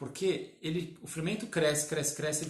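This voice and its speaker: Audible room echo surrounds a man's voice. He speaks at a moderate pace with a fairly high pitch. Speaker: baker. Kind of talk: live-stream tutorial. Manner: halting, many fillers.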